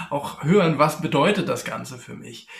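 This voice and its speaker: A high-pitched man keeps a moderate pace as noticeable background noise runs beneath him. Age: 50s. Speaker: former executive and electrical engineer. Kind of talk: podcast interview.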